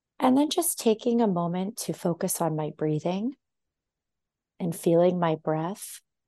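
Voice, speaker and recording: With an American accent, a woman speaks at a fairly slow pace and a fairly low pitch. Her tone is dark and mellow, her intonation lively. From US West Coast, Los Angeles. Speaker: intuitive dancer and holistic healer. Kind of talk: podcast interview conversation; reading aloud.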